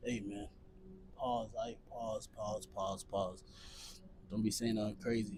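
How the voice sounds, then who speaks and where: A man with a fairly low pitch speaks very slowly, leaving long, frequent pauses. Audible room echo surrounds his voice. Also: ordinary pitch variation. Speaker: fitness vlogger. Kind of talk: casual vlog while working out. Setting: gym. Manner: talking low. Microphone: small portable mic, unsure if it picks up quiet speech.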